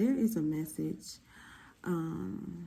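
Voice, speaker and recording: A woman whispers. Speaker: tarot reader. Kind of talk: tarot reading video. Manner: whispering; casual.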